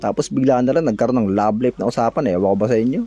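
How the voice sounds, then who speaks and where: Words pour out of this man at a very fast pace. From Philippines, Bicol region. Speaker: cooking vlogger. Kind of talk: casual cooking vlog chat. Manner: gossipy chatty tone.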